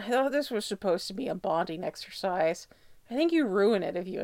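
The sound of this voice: Lively intonation shapes the delivery. It is an unforced reading voice.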